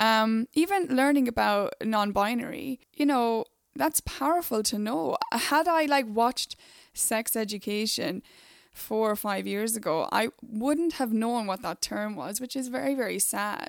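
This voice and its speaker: On a very clean recording with a silent background and a dry, close sound with no echo, a woman speaks in an ordinary speaking voice at fairly high pitch. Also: lively intonation, fairly slow pace. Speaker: podcast host. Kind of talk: casual chat.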